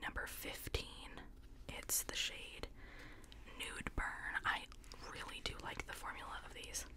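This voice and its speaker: A soft-spoken woman whispering at a fairly slow pace. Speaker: beauty creator. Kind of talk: casual makeup review chat. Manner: soft close-mic ASMR whisper. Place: home room. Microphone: studio mic.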